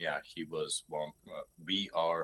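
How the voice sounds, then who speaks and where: A man with a Hungarian accent speaks in a dry, close recording with no echo. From Hungary. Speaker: lure maker. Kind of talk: casual interview chat. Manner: halting, many fillers.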